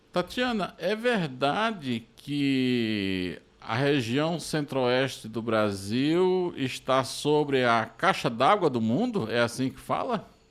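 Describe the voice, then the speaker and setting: At a very slow pace yet with hardly any pauses, a man of medium pitch speaks with very wide pitch swings. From Brazil, interior of Pernambuco. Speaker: journalist and podcast host. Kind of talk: podcast interview.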